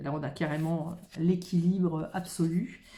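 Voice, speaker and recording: A woman speaks in a somewhat breathy voice with a dark, mellow tone. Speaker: tarot card reader. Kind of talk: improvised card reading. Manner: halting.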